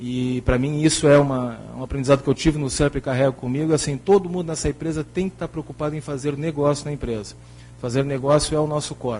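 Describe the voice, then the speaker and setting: A man's fairly high voice with a Rio Grande do Sul accent, somewhat breathy, dark and mellow in tone, at a fairly quick pace with fairly even intonation. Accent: gaúcho (Rio Grande do Sul) Portuguese. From Rio Grande do Sul, southern Brazil. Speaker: company director, panel moderator. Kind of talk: closing remarks at a conference panel.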